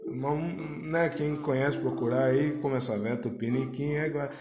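A fairly high-pitched man at a fairly slow pace, amid audible room echo and noticeable background noise. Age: 20s. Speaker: podcast host. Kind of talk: casual solo monologue. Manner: hesitant with frequent fillers.

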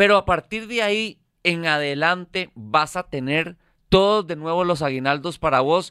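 Over a very clean recording with a silent background, a man speaks fairly slowly at a high pitch in a bright, sharp tone. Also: ordinary pitch variation, dry, close sound with no echo. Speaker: financial educator. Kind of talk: casual chat.

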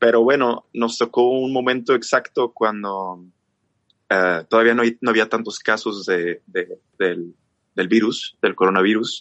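A man with a normal speaking voice speaks at medium pitch and a fairly slow pace, with very even loudness and fairly even intonation. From northern Mexico, Chihuahua. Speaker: singer and musician. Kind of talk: casual chat.

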